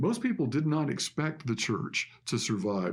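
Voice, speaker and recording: At a moderate pace, a man speaks with vocal fry. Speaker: pastor. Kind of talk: sermon.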